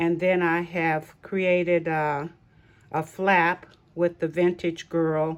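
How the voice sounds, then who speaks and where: A woman's very slow, monotone, flat delivery at a fairly low pitch, with long, frequent pauses and very even loudness, in a very clean recording over a silent background. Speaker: craft video creator. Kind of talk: craft tutorial show-and-tell. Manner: halting, many fillers.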